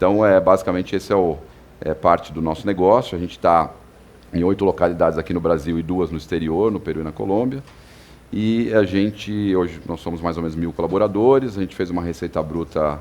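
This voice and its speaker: Very deep and low, a man's voice moves at a fairly quick pace with ordinary pitch variation. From São Paulo, Brazil. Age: 40s. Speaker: company executive. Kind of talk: podcast interview. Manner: hesitant, many filler words.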